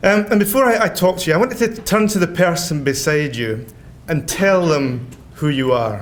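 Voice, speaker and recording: With a Scottish accent, a man speaks at a moderate pace in a high voice. His pitch swings very widely, and room echo is audible. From Scotland. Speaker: theology professor. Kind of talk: lecture.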